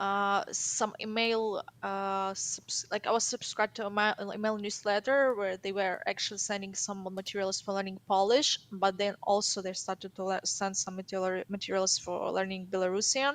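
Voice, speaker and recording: A woman with a Ukrainian accent, at a moderate pace with fairly even intonation and hardly any pauses. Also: medium pitch for a woman. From Ukraine. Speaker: caller to language show. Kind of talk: casual interview. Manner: halting.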